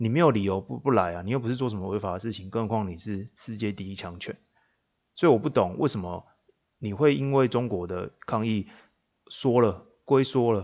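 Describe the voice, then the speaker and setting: This man's pitch sits fairly low, with ordinary variation. He talks at a fairly quick pace. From Taiwan, Changhua. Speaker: podcast host. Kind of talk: solo political commentary. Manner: animated.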